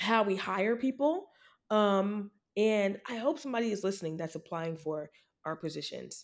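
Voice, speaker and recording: On a very clean recording with a silent background, a woman speaks in an ordinary speaking voice at a moderate pace with lively intonation. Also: medium pitch for a woman. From upstate New York. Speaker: skincare brand founder. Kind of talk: casual interview.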